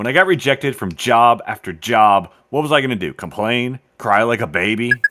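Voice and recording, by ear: The background stays quiet. A passage is read aloud in a natural voice.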